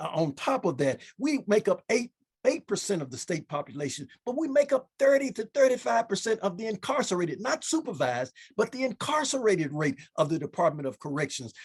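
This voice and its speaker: This man has an American accent and a high pitch for a man, moving at a fairly quick pace. His pitch swings very widely, and the sound is dry and close with no echo. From US South, Memphis, Tennessee. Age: 60s. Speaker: state senator and pastor. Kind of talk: panel discussion. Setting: video call. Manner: halting, repeats words.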